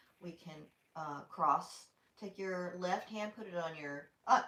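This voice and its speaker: An animated woman with a Southern US accent talks at medium pitch. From US South. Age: 60s. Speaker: yoga instructor. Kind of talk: guided exercise class.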